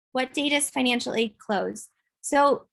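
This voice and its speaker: A woman talks at a fairly slow pace. She has a plain, everyday voice with ordinary pitch variation. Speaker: financial aid counselor. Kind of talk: online workshop presentation with Q&A. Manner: frequent fillers (um).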